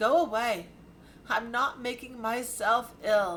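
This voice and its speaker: A woman speaks at a fairly slow pace in a put-on character voice, pitched fairly high. Her voice is raised and projected. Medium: read story.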